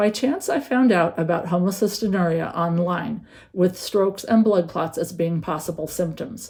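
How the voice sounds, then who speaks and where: Her voice is somewhat breathy, dark and mellow, as a woman speaks at medium pitch and a moderate pace. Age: 60s. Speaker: patient with a rare metabolic disease. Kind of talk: prepared patient testimony.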